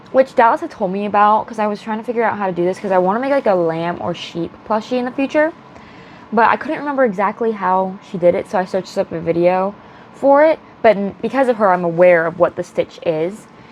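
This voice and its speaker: A woman speaks at a very fast pace with lively intonation and a medium pitch. Noticeable background noise runs underneath. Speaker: crochet vlogger. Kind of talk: casual vlog. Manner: animated.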